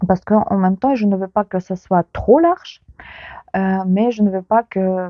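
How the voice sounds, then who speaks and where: Against music in the background, a woman with a Ukrainian accent and medium pitch speaks at a fairly slow pace. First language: Ukrainian (speaking French). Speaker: knitting youtuber. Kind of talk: casual vlog chat. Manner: hesitant, many fillers.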